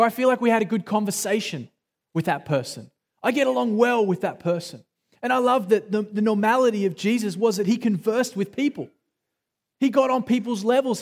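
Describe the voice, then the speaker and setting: A high-pitched man with an Australian accent, ordinary pitch variation and a fairly quick pace. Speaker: pastor. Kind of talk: sermon. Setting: church.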